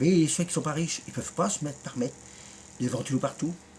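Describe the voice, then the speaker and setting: A man's fairly high-pitched voice. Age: 50s. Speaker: YouTuber. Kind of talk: rant video reply. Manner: animated; halting.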